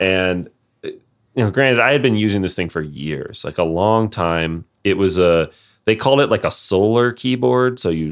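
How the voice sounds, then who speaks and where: In a northern US accent, a man with a very deep, low voice talks at a moderate pace with lively intonation. The recording is very clean, with a silent background. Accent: general American, northern US. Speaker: podcast host. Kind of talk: casual chat.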